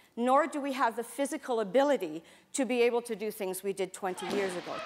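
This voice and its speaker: Noticeable background noise fills the clip. The talking races along at a very fast pace. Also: woman. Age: 60s. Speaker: self-defense instructor. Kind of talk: class instruction. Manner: animated.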